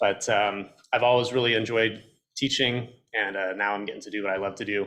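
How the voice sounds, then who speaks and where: The voice is loud and monotone, with flat intonation and a fairly quick pace. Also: man, fairly low pitch for a man. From Texas. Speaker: college professor. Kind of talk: club meeting introduction.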